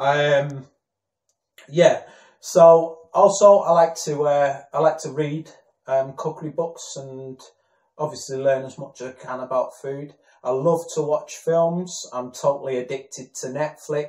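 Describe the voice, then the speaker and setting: With a northern English accent, a man speaks at a fairly slow pace in a somewhat breathy, fairly high voice, his intonation fairly even but his loudness swinging widely. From northern England, Warrington. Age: 30s. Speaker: aspiring actor. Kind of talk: self-introduction video. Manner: halting, many fillers.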